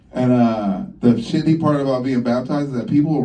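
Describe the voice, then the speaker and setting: A man at a fairly quick pace with audible room echo. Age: 40s. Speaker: stand-up comedian. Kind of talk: stand-up. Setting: comedy club stage with audience. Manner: casual, conversational with filler words.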